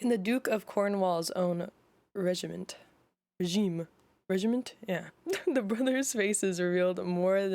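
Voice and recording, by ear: Against a quiet background, someone is reading aloud in a natural voice, with ordinary pitch variation.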